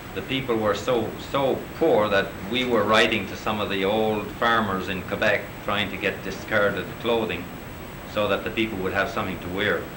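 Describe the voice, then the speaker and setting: Through noticeable background noise and audible room echo, a man speaks at a fairly low pitch and moderate pace with fairly even intonation. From Newfoundland, Canada. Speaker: co-op organizer, guest lecturer. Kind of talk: lecture.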